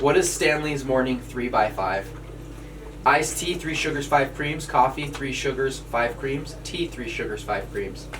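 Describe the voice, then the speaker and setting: A man speaks with an American accent. There is noticeable background noise and audible room echo. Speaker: podcast co-host. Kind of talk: casual chat. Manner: fast.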